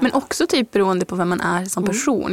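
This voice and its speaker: A woman speaks at a medium pitch with vocal fry and a fairly quick pace. The sound is dry and close, with no echo. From Norrbotten, northern Sweden. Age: 20s. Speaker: author. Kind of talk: interview.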